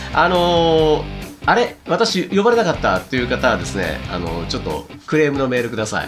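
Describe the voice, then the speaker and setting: A man talks at a fairly quick pace with clear music playing behind him. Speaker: radio DJ and wedding MC. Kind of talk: radio host talk, post-show recap. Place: home room. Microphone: lapel.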